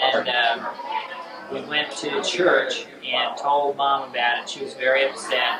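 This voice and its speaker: Speaking fairly slowly at a medium pitch, a man with an American accent is heard over noticeable background noise and audible room echo. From Indianapolis, US Midwest. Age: 40s. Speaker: hospital administrator. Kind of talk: home video interview. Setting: birthday party. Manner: halting.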